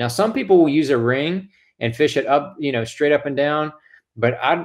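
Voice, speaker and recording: The pace is moderate. The background stays quiet. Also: man. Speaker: guest. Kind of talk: tutorial. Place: home room. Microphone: video call.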